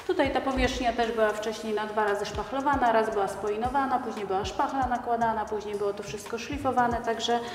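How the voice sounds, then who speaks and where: Speaking at a very fast pace with hardly any pauses, a woman keeps her intonation fairly even. Room echo is audible, and faint music plays in the background. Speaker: home renovation vlogger. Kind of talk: tutorial. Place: home room. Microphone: lapel.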